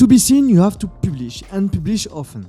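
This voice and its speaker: A man speaks with a French accent. His tone is dark and mellow, his intonation lively. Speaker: fitness business coach. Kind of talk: educational talk to camera.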